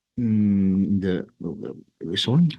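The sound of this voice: A man with a low pitch talks at a very slow pace, his pitch varying in an ordinary way.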